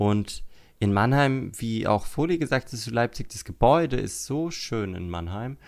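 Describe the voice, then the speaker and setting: An unremarkable speaking voice talks at a fairly slow pace with lively intonation and big swings in loudness, captured in a very clean recording with a silent background. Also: man, medium pitch for a man. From Germany, Lower Franconia (Würzburg area). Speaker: podcast host. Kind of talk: casual chat.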